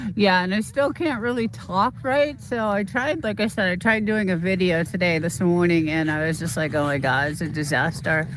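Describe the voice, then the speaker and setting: Hardly pausing, a woman speaks at a fairly low pitch with very wide pitch swings. She has a slight Boston accent. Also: moderate pace. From Boston, US East Coast. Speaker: YouTuber livestreamer. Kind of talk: casual livestream chat. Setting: outdoors, walking on property. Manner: halting.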